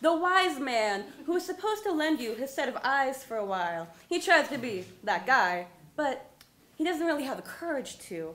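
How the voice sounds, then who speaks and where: A raised, projected voice with an American accent moves at a moderate pace through very wide pitch swings. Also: woman. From Colorado. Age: young. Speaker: slam poet. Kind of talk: slam poetry performance.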